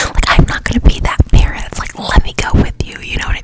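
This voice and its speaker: Over noticeable background noise, a woman whispers. Her pace is fairly quick. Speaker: ASMR podcast host. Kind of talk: ASMR podcast, relaxed rambling talk. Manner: relaxed, casual, conversational.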